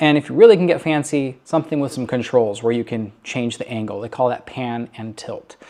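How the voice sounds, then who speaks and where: On a very clean recording with a silent background, a man with an unremarkable speaking voice talks fairly quickly at a medium pitch, with ordinary pitch variation. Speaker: church technology specialist. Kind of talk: tutorial. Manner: casual, filler-heavy.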